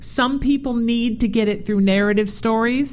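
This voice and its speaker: Using a plain, everyday voice, a woman speaks at a fairly high pitch and moderate pace with ordinary pitch variation. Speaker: radio host. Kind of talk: upbeat radio host patter with plugs and sign-offs, warm interview chat. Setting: radio studio show.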